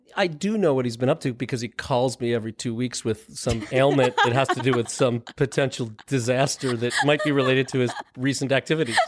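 A man at a medium pitch with ordinary pitch variation, talking at a fairly quick pace with hardly any pauses over noticeable background noise. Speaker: doctor. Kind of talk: casual chat. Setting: studio.

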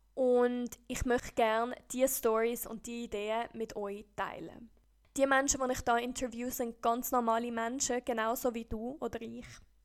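A woman's high-pitched, monotone voice with flat intonation, on a very clean recording with a silent background. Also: moderate pace. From Costa Rica. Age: 20s. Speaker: podcast host. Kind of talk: scripted podcast intro.

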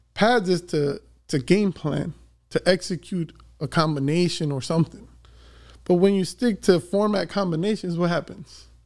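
On a very clean recording with a silent background, a man talks in a high voice. He keeps a moderate pace and ordinary pitch variation. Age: 30s. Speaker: boxing coach. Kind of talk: casual chat.

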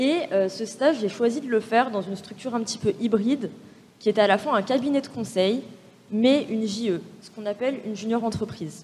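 The woman's voice is fairly high and somewhat breathy. She keeps a moderate pace with ordinary pitch variation. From France, Paris suburbs (Val-de-Marne, near Orly). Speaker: business school student. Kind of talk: panel discussion.

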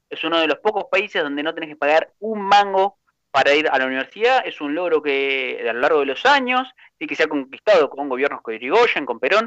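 Speaking at a fairly quick pace, a man with a fairly high voice makes very wide pitch swings. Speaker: teacher and radio news commentator. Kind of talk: casual chat. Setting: studio. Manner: animated.

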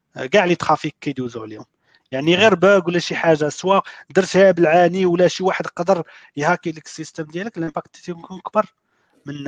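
At a fairly quick pace, a man with a high pitch shows ordinary pitch variation and big swings in loudness, recorded dry and close with no echo. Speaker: software developer. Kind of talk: casual panel discussion.

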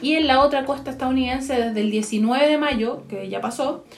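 Noticeable background noise under speech with fairly even intonation. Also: woman. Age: 30s. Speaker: podcast co-host. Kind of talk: casual chat.

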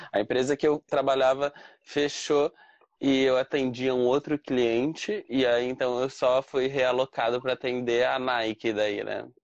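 A man speaks at a fairly slow pace in a medium pitch, his intonation flat and monotone, and the sound is dry and close with no echo. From Brazil. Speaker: Brazilian living abroad. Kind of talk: casual interview.

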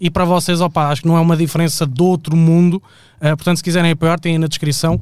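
A man talks at a very fast pace and a high pitch in a monotone, flat intonation with very even loudness. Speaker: podcast co-host. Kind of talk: casual chat. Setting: studio, live stream.

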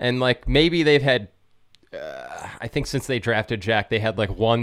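With an American accent, a man in a normal speaking voice talks at a fairly slow pace with ordinary pitch variation. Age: 30s. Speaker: musician and podcaster. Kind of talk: casual chat.

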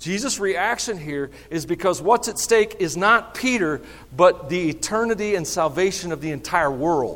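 A high-pitched man with a Southern US accent speaks at a moderate pace. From US South. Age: 50s. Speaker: pastor. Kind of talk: sermon. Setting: church. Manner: animated.

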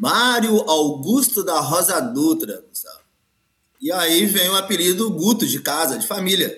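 Here a man talks fairly slowly in a high voice. His intonation is lively, and his loudness swings widely. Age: 50s. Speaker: capoeira master. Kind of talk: casual interview.

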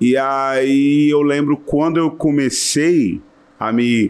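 Here a man speaks at a medium pitch. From Brazil, Serrana (São Paulo interior). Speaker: musician and music teacher. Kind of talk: casual chat. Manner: talkative.

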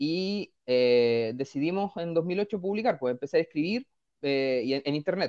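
With lively intonation, the man delivers his words at a moderate speed. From northern Chile (Vallenar). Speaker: comic book writer. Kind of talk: radio interview. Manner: halting, many repetitions.

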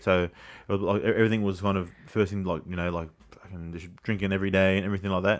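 Someone with an Australian accent talks at a very fast pace in a monotone, flat intonation. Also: man. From Sydney inner west, Australia. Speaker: former rugby league player. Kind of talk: casual chat.

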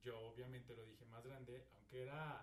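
Amid audible room echo, a man speaks at a moderate pace, somewhat breathy and in a monotone, flat intonation. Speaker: podcast co-host. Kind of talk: casual chat.

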